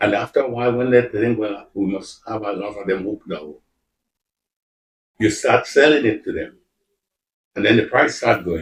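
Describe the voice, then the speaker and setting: Somewhat breathy and fairly low in pitch, a man speaks at a moderate pace with ordinary pitch variation, big swings in loudness, and long, frequent pauses. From Carriacou, Grenada. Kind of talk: interview answer.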